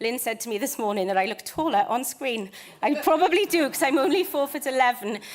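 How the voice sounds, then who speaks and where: With a British accent, a woman speaks. Her intonation is lively. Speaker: conservation charity volunteering manager. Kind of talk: conference presentation. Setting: stage with audience. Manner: fast.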